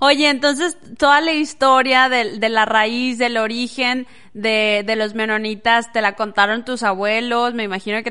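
A woman's fairly high-pitched voice, bright and sharp in tone and animated. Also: quiet background. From Las Nieves, Durango, Mexico. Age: 30s. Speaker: podcast host. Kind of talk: interview.

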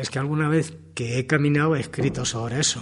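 A man's somewhat breathy voice at medium pitch, fairly quick in pace, with ordinary pitch variation. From Spain, not from Guadalajara. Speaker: amateur writer and guide. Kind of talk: radio interview.

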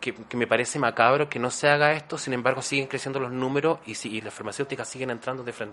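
Very fast speech from a man at medium pitch, with fairly even intonation and hardly any pauses. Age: 40s. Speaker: actor and HIV awareness YouTuber. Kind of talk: interview.

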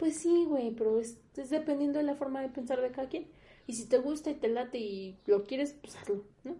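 A woman with a Mexican accent speaks at a moderate pace in a high, dark, mellow voice. Her loudness swings widely while her pitch moves in an ordinary way. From Mexico, Morelia (Michoacán). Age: 20s. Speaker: podcast co-host. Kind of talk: casual chat.

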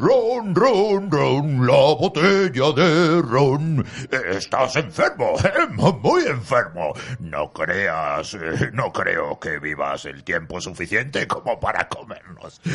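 A man speaks at a very slow pace. He is using a put-on character voice. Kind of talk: comic pirate voice. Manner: boisterous, laughing, bargaining.

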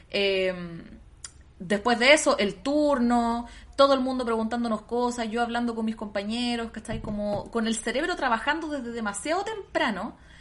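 A woman's high-pitched voice at a moderate pace. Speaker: podcast co-host and teacher. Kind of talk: casual chat.

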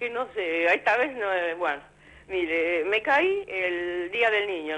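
A woman speaks at a medium pitch with ordinary pitch variation. It is a normal speaking voice. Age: 60s. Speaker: caller. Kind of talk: call-in question. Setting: phone call.

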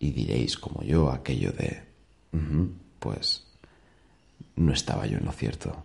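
Speech comes at a fairly slow pace with long, frequent pauses. There is vocal fry and ordinary pitch variation. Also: man, very deep, low pitch for a man. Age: 30s. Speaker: podcaster. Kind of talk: daily monologue. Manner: casual.

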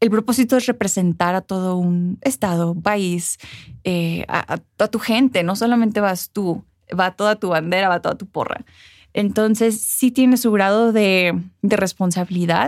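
In a very clean recording with a silent background and a dry, close sound with no echo, a woman with a medium pitch talks at a fairly slow pace with ordinary pitch variation. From United States, Mexican immigrant parents. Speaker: former beauty pageant queen and journalist. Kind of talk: interview. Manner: eloquent.

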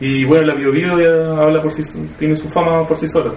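A man with a Chilean accent talks at a very fast pace amid noticeable background noise. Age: 20s. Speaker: student. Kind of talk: focus group discussion.

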